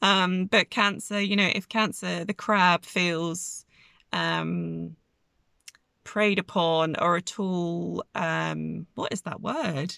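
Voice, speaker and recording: In a very clean recording with a silent background, a woman speaks at a very slow pace in a dry, close sound with no echo. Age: 30s. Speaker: astrology podcaster. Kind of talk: spiritual monologue.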